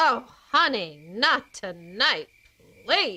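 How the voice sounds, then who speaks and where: This female-sounding voice is a put-on character voice. It sits high in pitch and swings very widely up and down. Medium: audio drama.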